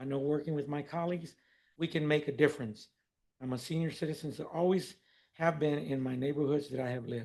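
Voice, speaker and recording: A man with a normal speaking voice, fairly high in pitch, moves at a fairly quick pace with ordinary pitch variation. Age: 60s. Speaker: mayor chairing council. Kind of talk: council meeting chairing. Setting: city council meeting. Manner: formal.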